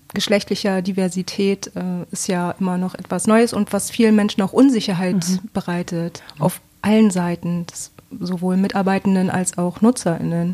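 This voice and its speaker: This woman has a dark, mellow tone at medium pitch, talking at a moderate pace with fairly even intonation. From Bremen, northern Germany. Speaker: coordinator in mental health and addiction support. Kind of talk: interview.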